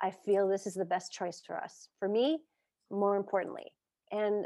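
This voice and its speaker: A plain, everyday voice from a woman, medium in pitch and moderate in pace, with fairly even intonation in a very clean recording with a silent background. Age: 50s. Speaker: martial arts teacher and coach. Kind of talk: casual interview chat.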